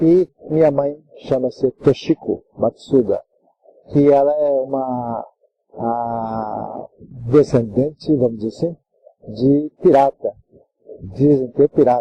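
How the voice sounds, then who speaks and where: A man with a fairly high pitch speaks at a very slow pace. Long pauses come often. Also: ordinary pitch variation. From Japan. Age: 70s. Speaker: judo master. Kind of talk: interview. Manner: halting. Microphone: poor audio, later improved.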